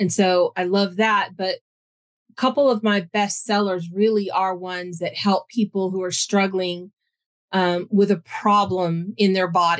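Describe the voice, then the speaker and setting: A woman with an ordinary speaking voice, medium pitch and fairly even intonation, in a dry, close sound with no echo. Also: fairly slow pace. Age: 50s. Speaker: aromatherapy business owner. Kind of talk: interview.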